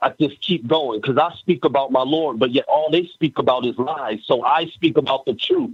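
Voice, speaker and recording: With an ordinary speaking voice, a man talks at a moderate pace, his fairly high pitch showing ordinary pitch variation. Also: hardly any pauses, very even loudness. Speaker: spoken word poet, contest participant. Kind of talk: spoken word poetry, rhymed and rhythmic.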